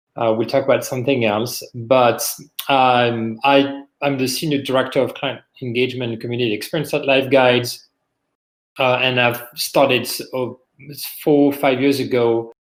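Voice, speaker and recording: A man with a medium pitch speaks moderately fast in a monotone, flat intonation. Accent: French. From France. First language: French. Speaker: business executive, podcast guest. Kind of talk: interview conversation.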